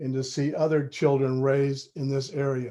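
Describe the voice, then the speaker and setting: The man's voice sits fairly high. It carries a dark, mellow tone. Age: 70s. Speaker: local resident. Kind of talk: public comment at city council.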